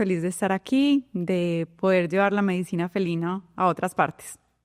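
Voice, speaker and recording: A woman speaks at a moderate pace and a medium pitch, in a Colombian paisa accent. The sound is dry and close with no echo, over a quiet background. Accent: Colombian (paisa) sing-song. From Colombia, Medellín. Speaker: veterinarian. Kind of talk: interview.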